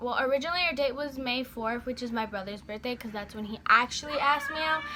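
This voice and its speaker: Over noticeable background noise, a woman talks fairly quickly at a high pitch with ordinary pitch variation. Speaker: beauty vlogger. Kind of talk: storytime vlog. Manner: fast; halting, stuttering.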